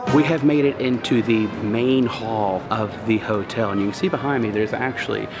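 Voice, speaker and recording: Music plays in the background as a man speaks at a moderate pace. His tone is enthusiastic and his pitch fairly low. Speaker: travel vlogger. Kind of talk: hotel room tour vlog. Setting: walking inside a hotel. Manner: casual, enthusiastic.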